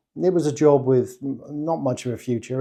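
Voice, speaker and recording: A man with an English accent, dark, mellow tone, moderate pace and fairly even intonation, against a quiet background. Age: 60s. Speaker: online business coach. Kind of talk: personal testimony monologue.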